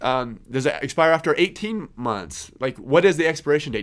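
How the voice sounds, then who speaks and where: In a very clean recording with a silent background, a man with a fairly high pitch and vocal fry talks at a fairly quick pace, his pitch swinging very widely. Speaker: podcast host, accountant. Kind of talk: casual podcast talk. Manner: many fillers and repetitions.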